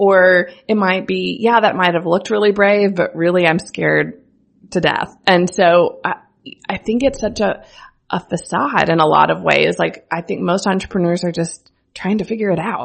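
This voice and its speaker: With an American accent, the speaker uses an ordinary speaking voice, fairly even intonation and a moderate pace. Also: woman, medium pitch for a woman. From US Midwest, rural central Missouri. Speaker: brand strategist and agency founder. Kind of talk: casual interview chat. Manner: laughs often.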